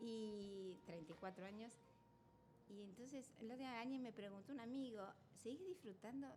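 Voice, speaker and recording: Lively in intonation and fairly high in pitch, a woman speaks at a moderate pace with audible room echo. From Argentina, Buenos Aires area. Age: 70s. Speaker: artisan jam maker. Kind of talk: interview. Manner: animated.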